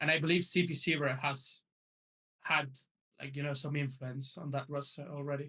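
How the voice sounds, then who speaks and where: In a very clean recording with a silent background, a man with a non-native accent speaks at a fairly high pitch in a bright, sharp tone with fairly even intonation. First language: not English. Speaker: esports coach. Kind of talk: podcast interview. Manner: hesitant, many fillers.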